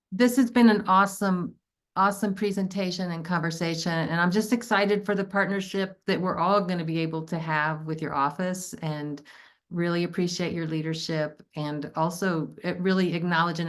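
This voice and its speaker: Against a quiet background, the speaker talks at a fairly quick pace in a Southern accent with ordinary pitch variation. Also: woman. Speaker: town hall moderator. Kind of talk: moderated Q&A.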